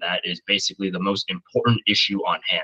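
In a dry, close recording with no echo, a man with an American accent speaks in a bright, sharp tone. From Indiana, US Midwest. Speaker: podcast host, football fan. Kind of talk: casual sports chat.

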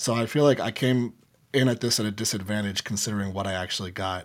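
Intonation holds fairly even throughout. The words come at a very fast pace. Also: man. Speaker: music reaction content creator. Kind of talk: casual chat.

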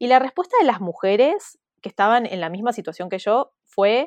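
Recorded in a dry, close sound with no echo over a quiet background, a woman has an unremarkable speaking voice with ordinary pitch variation. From Argentina, Buenos Aires (teen years in Mexico). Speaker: entrepreneur, community founder. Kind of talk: interview.

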